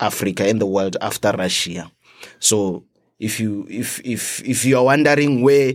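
In a Botswana accent, a man talks at a fairly slow pace with ordinary pitch variation. The recording is very clean, with a silent background. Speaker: international student. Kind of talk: casual interview. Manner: halting, repeats words.

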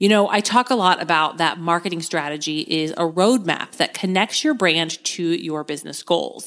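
In a very clean recording with a silent background, a plain, everyday voice with an American accent moves at a moderate pace with ordinary pitch variation and hardly any pauses. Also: woman, fairly low pitch for a woman. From US Midwest. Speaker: podcast host and marketing coach. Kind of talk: casual solo podcast talk.

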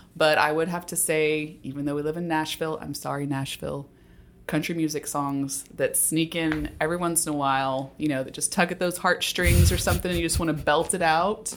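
A woman with an American accent, her very deep, low pitch and fairly even intonation at a fairly quick pace. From Texas (Dallas and Houston). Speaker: podcast co-host, healthcare operations director. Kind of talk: casual chat.

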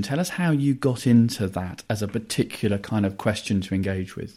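At a moderate pace, the speaker has a plain, everyday voice with ordinary pitch variation. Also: man. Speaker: podcast host. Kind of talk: interview, conversational.

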